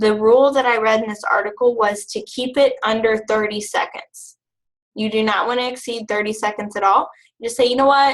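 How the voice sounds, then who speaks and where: A woman speaks at a fairly quick pace and a fairly high pitch, her intonation monotone and flat. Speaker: team leader in direct sales. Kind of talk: training webinar. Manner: fast.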